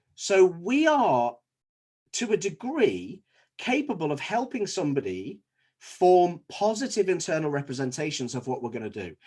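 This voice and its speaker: A man with a Scouse accent, high-pitched with very wide pitch swings, at a moderate pace against a quiet background. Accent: Scouse (Liverpool English). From Liverpool, England. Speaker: dentist. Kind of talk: presentation to fellow dentists.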